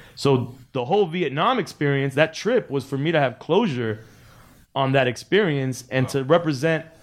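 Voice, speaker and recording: A man with an ordinary speaking voice talks at a moderate pace, his fairly high pitch showing ordinary pitch variation. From Miami (Cuban American, early childhood in LA). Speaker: DJ and podcast host. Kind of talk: casual interview chat. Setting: studio.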